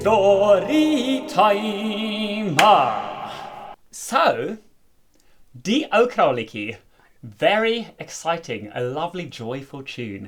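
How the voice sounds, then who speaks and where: A man with a high voice talks at a very slow pace, with very wide pitch swings, big swings in loudness, long, frequent pauses, and noticeable background noise. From South Africa. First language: Afrikaans. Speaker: folk musician. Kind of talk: casual chat.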